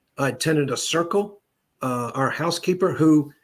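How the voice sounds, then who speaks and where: A man speaks in a somewhat breathy, fairly high voice, recorded very cleanly against a silent background. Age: 60s. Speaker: clairvoyant medium. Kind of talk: interview. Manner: halting.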